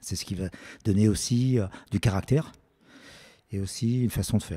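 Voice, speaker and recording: The man's fairly low voice is dark, mellow and somewhat breathy, with ordinary pitch variation. He moves at a fairly quick pace in a very clean recording with a silent background. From France, Lyon. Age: 60s. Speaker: stadium announcer. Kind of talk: interview. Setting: his art studio. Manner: halting, many hesitations.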